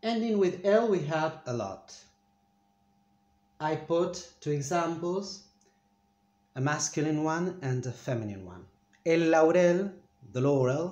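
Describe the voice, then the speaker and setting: A man with a Spanish accent talks at a fairly slow pace, with long, frequent pauses and big swings in loudness. His pitch is fairly high for a man, and his intonation is lively. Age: 40s. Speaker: Spanish teacher. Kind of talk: language lesson. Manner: halting, with many fillers.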